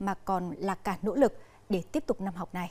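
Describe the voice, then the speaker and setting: The woman's speech moves at a moderate pace. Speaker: news anchor. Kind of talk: news reading. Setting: studio. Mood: calm, formal. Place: studio. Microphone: lapel.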